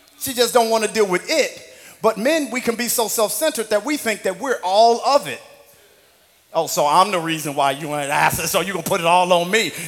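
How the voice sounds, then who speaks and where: With lively intonation and an animated tone, a high-pitched man talks at a fairly quick pace over noticeable background noise. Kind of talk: sermon with call-and-response. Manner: animated, rousing, crowd-working.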